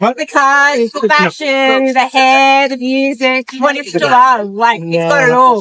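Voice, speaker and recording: A woman with an American accent speaks in a raised, projected voice at a high pitch. Her pace is very slow, with ordinary pitch variation. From Arizona, US. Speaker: pin-up enthusiast. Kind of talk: casual interview.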